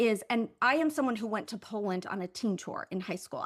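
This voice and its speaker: Over a very clean recording with a silent background, a woman talks at a very fast pace. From Kentucky, Louisville. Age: 50s. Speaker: entrepreneur and podcast host. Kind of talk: interview conversation. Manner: loud.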